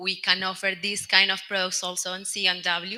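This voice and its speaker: A woman's bright, sharp voice at a medium pitch in a Colombian accent, with monotone, flat intonation. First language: Spanish. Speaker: telecom product executive. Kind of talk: panel discussion.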